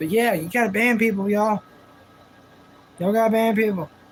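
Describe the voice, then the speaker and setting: A man with a high pitch, fairly even intonation and a moderate pace over noticeable background noise. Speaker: live streamer. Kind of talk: casual live stream talk. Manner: intense, passionate, may sound angry.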